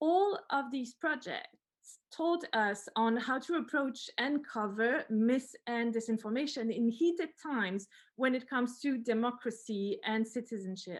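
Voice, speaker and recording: Lively intonation in a woman's high voice. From France and Germany. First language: French or German. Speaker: NGO partnerships head, webinar panelist. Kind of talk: webinar presentation. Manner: hesitant, with fillers.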